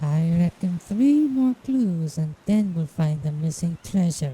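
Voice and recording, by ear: A woman's cartoonish character voice, fairly low in pitch, with lively intonation at a fairly slow pace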